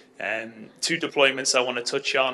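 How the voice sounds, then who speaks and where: In a London accent, a man speaks at a moderate pace. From London, England. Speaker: tech company sales lead. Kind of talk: conference presentation. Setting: conference stage with audience. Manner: conversational with frequent fillers.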